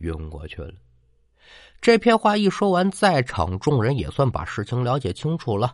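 Marked by vocal fry and very wide pitch swings, this voice moves at a moderate pace with a slight Tianjin accent over a quiet background. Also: man. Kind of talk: storytelling. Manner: single narrating voice, no character voices.

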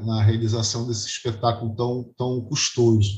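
A somewhat breathy man at medium pitch, at a fairly slow pace. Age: 50s. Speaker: music historian and composer. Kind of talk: interview.

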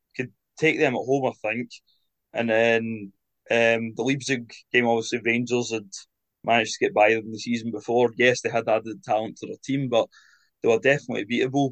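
At a moderate pace, a man speaks in a medium, monotone voice with flat intonation. He leaves long, frequent pauses. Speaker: student journalist and Celtic fan. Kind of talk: casual chat.

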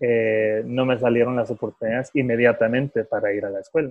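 A man with a normal speaking voice delivers his words at a moderate tempo and a medium pitch. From California, US, Salvadoran-Guatemalan parents. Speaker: professional football goalkeeper. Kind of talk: casual interview. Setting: phone call.

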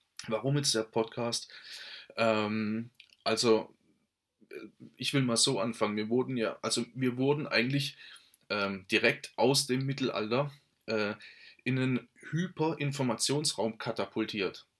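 On a very clean recording with a silent background, a man of medium pitch speaks at a fairly slow pace with fairly even intonation and long, frequent pauses. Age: 30s. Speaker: podcast host, network marketer. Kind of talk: solo podcast monologue. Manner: halting, many fillers and restarts.

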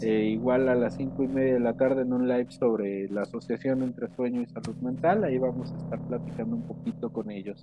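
This man has an ordinary speaking voice at medium pitch with ordinary pitch variation. He goes at a fairly quick pace with hardly any pauses. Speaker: psychologist. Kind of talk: interview.

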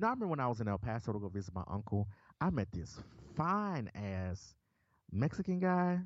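Over a quiet background, a man with a Southern US accent and a medium pitch speaks at a fairly quick pace with very wide pitch swings. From Memphis, Tennessee. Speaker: podcast co-host. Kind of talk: casual chat.

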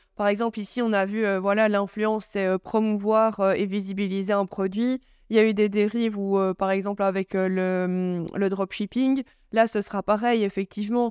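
A woman speaks at a moderate pace with monotone, flat intonation in a very clean recording with a silent background. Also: medium pitch for a woman, dry, close sound with no echo. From Belgium, Charleroi. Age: 20s. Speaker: influencer and blogger. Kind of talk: casual interview.

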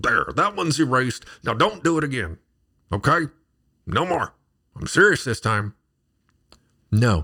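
A man with a medium pitch and a bright, sharp tone speaks at a moderate pace, his voice swinging very widely in pitch and showing vocal fry. He leaves long, frequent pauses, and the recording is very clean with a silent background. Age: 40s. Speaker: podcast preacher. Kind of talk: sermon-style teaching monologue. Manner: animated.

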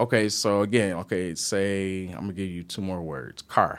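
A man speaks with an American accent at a fairly low pitch. The recording is very clean, with a silent background. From Detroit, Michigan. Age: 30s. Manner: animated, laughs often.

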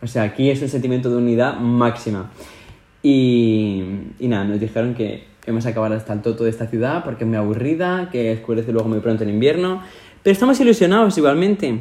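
The tone is dark and mellow, with lively intonation and a very fast pace. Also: man, medium pitch for a man. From Spain. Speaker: podcast co-host. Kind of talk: casual chat. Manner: animated.

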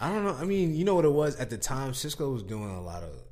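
His accent is American. The voice belongs to a man. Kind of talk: casual chat.

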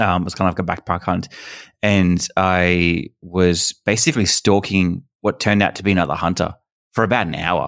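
Very deep and low, a man's voice in an Australian accent moves at a moderate pace with fairly even intonation on a very clean recording with a silent background. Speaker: hunter and YouTube creator. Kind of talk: casual chat.

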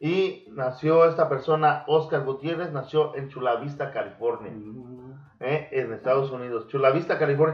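A man's fairly high, somewhat breathy voice at a moderate pace, fairly even in intonation but with big swings in loudness. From Mexico. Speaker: podcast host. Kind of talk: casual chat; storytelling about wrestling history.

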